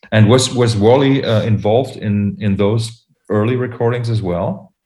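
With a German accent, a man talks in fairly even intonation. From Germany. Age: 40s. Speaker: podcast host. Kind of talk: casual chat. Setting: video call.

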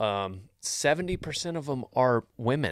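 In a Texan accent, a man speaks at a fairly slow pace on a very clean recording with a silent background and a dry, close sound with no echo. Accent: Texan Southern US. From Texas. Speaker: comedic podcast host giving cowboy life advice. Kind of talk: casual comedic advice podcast. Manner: animated.

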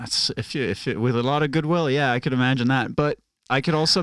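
A man talks with a Norwegian accent. The recording is very clean, with a silent background. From Norway. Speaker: stand-up comic. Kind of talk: casual chat.

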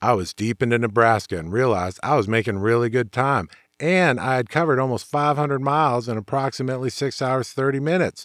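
A plain, everyday voice from a man at medium pitch, fairly quick in pace and lively in intonation, on a very clean recording with a silent background and a dry, close sound with no echo. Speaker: motorcycle show host and author. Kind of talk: podcast monologue reading rider stories.

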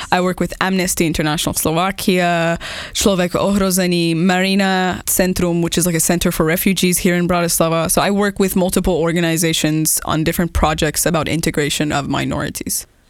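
Against noticeable background noise, a woman with a fairly low pitch speaks at a fairly quick pace with very even loudness and hardly any pauses. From Iran. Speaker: stand-up comedian. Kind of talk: casual interview. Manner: animated.

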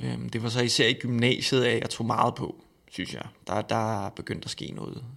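At a moderate pace, a man with a medium pitch talks with vocal fry and fairly even intonation. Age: 30s. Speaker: eating disorder counsellor. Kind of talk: interview. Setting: studio.

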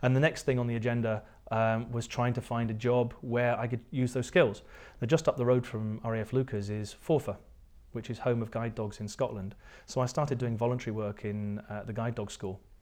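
On a very clean recording with a silent background, a man with a strong English accent talks at a fairly quick pace and fairly even intonation. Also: medium pitch for a man. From southern England. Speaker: entrepreneur, tech company founder. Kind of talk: casual interview chat.

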